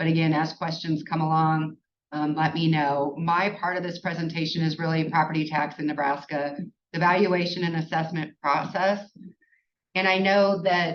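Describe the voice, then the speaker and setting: A woman's fairly low voice in a monotone, flat intonation. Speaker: tax accountant presenter. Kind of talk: webinar presentation. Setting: online webinar. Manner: fast.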